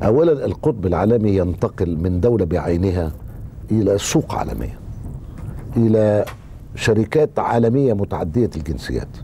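Amid noticeable background noise, a man speaks at a fairly slow pace in a fairly low voice. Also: lively intonation. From Egypt, Cairo. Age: 60s. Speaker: political writer and journalist. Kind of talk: interview.

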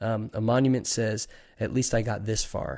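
In a normal speaking voice, a man talks at a moderate pace with fairly even intonation, in a very clean recording with a silent background. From Long Island, New York. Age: 30s. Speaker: pastor. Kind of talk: casual interview.

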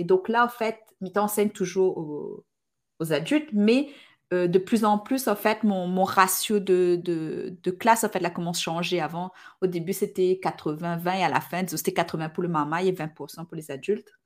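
A woman's plain, everyday voice at medium pitch and a moderate pace, with ordinary pitch variation, on a very clean recording with a silent background. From Réunion, Sainte-Marie. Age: 30s. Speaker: podcaster and Instagram creator. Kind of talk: casual interview.

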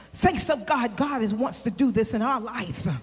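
Against noticeable background noise, a woman speaks at a moderate pace. Her tone is animated and her intonation lively. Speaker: preacher. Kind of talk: sermon. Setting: church with congregation. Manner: animated, exhorting the congregation with call-and-response.

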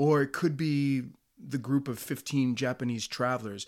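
In a very clean recording with a silent background, a man with an American accent and an unremarkable speaking voice talks at medium pitch and a moderate pace. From US Northeast. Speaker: podcast host and traveler. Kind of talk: scripted narration, storytelling about travel.

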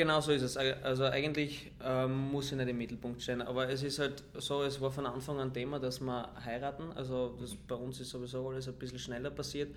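Amid noticeable background noise and audible room echo, a man speaks at a fairly quick pace with a medium pitch and monotone, flat intonation. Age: 20s. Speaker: footballer. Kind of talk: casual interview. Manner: calm.

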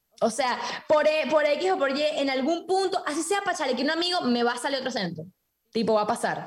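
A woman speaks at a fairly quick pace, her voice high-pitched and her intonation lively. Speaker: TikToker and accent impressionist. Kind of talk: casual comedic podcast chat. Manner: playful, switches accents.

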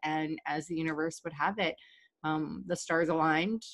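This is a normal speaking voice, a woman's with an American accent and fairly low pitch. She goes at a moderate pace, and the sound is dry and close with no echo. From Virginia, US. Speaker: podcast guest. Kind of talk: casual interview chat.

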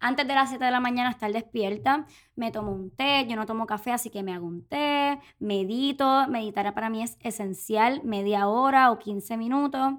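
On a very clean recording with a silent background, a woman speaks in a Puerto Rican accent. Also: fairly high pitch for a woman, ordinary pitch variation, moderate pace. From Puerto Rico. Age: 20s. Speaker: podcast co-host, actress and influencer. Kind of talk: casual chat.

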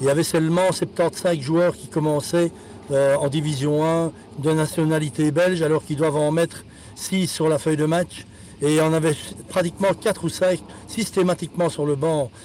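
Moderate speed and fairly level intonation, plus clearly audible background noise. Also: man, fairly high pitch for a man. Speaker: football scout. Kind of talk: casual chat. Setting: in a car.

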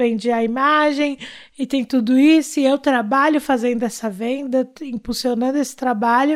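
On a very clean recording with a silent background, a woman speaks at a moderate pace. Her pitch is high, with ordinary pitch variation. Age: 30s. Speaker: artist manager and podcast co-host. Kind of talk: casual chat.

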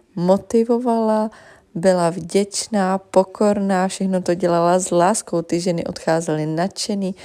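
Dark and mellow in tone, the voice moves at a fairly slow pace with fairly even intonation on a very clean recording with a silent background. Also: woman. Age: 20s. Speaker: beauty consultant. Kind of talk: personal testimony.

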